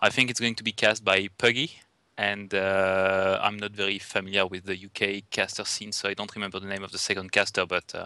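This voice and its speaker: In a French accent, a man talks at a fairly quick pace with a fairly low pitch and a bright, sharp tone. His intonation is monotone and flat while his loudness swings widely, on a very clean recording with a silent background. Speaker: esports event organizer. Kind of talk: casual podcast chat. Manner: hesitant, many fillers.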